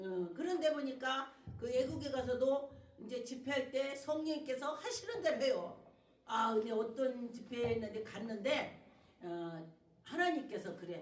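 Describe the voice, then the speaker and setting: In a Chungcheong accent, the speaker uses an animated tone and lively intonation at a fairly slow pace, with audible room echo around the voice. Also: woman, high pitch for a woman. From Chungcheong, South Korea. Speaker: pastor. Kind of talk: sermon. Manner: animated, colloquial.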